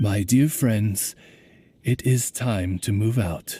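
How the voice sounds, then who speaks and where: A man's put-on character voice, medium in pitch, at a very slow pace. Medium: video game. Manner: polite, courtly, formal.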